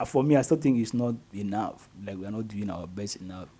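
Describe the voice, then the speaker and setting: With a Ghanaian accent, a man speaks at a moderate pace. His tone is dark and mellow, and his intonation lively. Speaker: radio host. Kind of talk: live radio talk show. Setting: radio studio, live broadcast.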